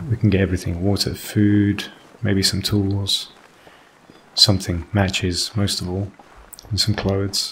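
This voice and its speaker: A quiet, relaxed man at a fairly slow pace, fairly low in pitch, monotone with flat intonation and long, frequent pauses. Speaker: gaming YouTuber. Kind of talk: let's play commentary. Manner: relaxed narration.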